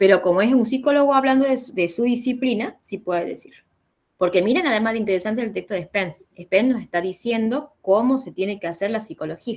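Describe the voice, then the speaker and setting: A woman at a fairly high pitch with lively intonation and a fairly quick pace. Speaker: philosophy teacher. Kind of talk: online class consultation. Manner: fast; halting.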